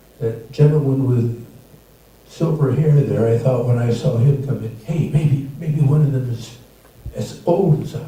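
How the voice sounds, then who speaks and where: Pitch varies in an ordinary way at a moderate speed. There is noticeable background noise, along with audible room echo. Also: man. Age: 80s+. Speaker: amateur stand-up comedian. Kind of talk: stand-up. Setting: stage with audience. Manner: halting.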